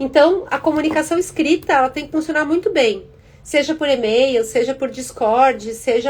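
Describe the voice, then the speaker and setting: Lively intonation in a woman's high voice. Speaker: career and tech content creator. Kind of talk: live stream talk. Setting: Instagram live.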